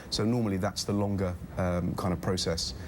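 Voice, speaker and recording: This is a man with a British accent. His pitch is fairly low. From UK. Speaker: charity travel company founder. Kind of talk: TV interview. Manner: hesitant with many fillers.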